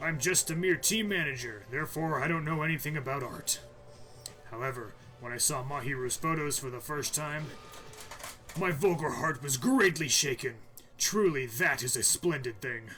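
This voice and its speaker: A man puts on a raspy character voice with ordinary pitch variation. Clear background noise runs underneath. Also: fairly high pitch for a man, moderate pace. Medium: game stream. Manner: booming, earnest.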